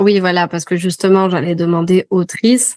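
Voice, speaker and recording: A woman speaks with fairly low pitch and a dark, mellow tone. Her intonation is fairly even, and the sound is dry and close with no echo. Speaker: French teacher. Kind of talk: interviewer, language lesson video.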